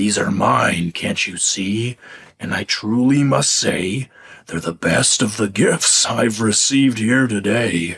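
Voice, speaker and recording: Using a put-on character voice, a man speaks in a gravelly, medium-pitched tone at a fairly slow pace with lively intonation. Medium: read story. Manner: haughty, menacing.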